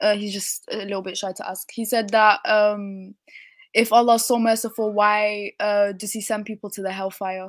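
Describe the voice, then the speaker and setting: With a British accent, a woman speaks at a moderate pace and a medium pitch in a monotone, flat intonation. The recording is very clean, with a silent background. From UK, Kurdish heritage. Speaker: caller. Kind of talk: casual chat.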